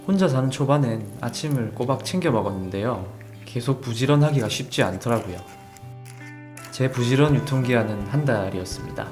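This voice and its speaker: A man keeps a moderate tempo while music plays behind him. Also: medium pitch for a man, ordinary pitch variation, very even loudness. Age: 30s. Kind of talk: vlog voice-over narration.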